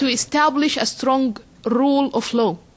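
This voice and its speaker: A woman with a high voice and ordinary pitch variation talks amid noticeable background noise. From Egypt. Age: 20s. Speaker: blogger and activist. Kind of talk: panel talk answering questions.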